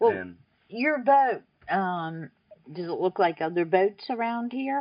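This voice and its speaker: Her pace is fairly slow, her pitch medium. This woman's voice moves in very wide pitch swings. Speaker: oral history interviewer. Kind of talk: interview questions.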